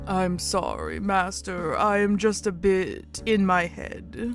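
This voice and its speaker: A put-on character voice speaks at a fairly slow pace over clear background music. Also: man. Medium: game stream. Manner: soft-spoken, hesitant, formal.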